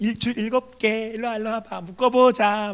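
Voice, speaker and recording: Doing a put-on character voice, a man speaks at a moderate pace in a high, nasal, monotone delivery with flat intonation. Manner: coy and seductive.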